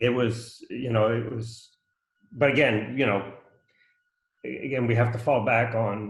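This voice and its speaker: The voice is somewhat breathy, with fairly even intonation. Audible room echo surrounds it. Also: man. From Canada. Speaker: community meeting attendee. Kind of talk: casual discussion. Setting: video call. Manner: halting.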